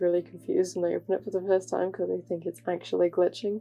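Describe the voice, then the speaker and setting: Her pitch sits in the medium range for a woman. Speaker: digital artist and animator. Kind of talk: casual voiceover tutorial. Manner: monotone; hesitant, many fillers.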